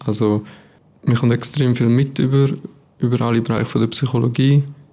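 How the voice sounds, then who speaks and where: A man speaks with monotone, flat intonation. There is noticeable background noise. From Switzerland, Aargau (near Baden). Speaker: psychology student. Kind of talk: casual interview.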